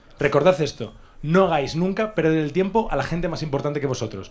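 A man's high-pitched voice moves at a moderate pace, the intonation lively. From Asturias, Spain. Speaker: comedian. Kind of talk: casual chat. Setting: studio.

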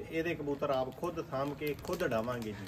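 A man talks over light background noise. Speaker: pigeon hobbyist vlogger. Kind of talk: casual vlog chat. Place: garden. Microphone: camera far.

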